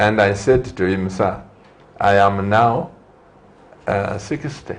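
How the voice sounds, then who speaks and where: At a very slow pace, a man with a fairly low pitch speaks with ordinary pitch variation. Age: 60s. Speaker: TV talk show host and pastor. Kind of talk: TV studio interview. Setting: TV studio.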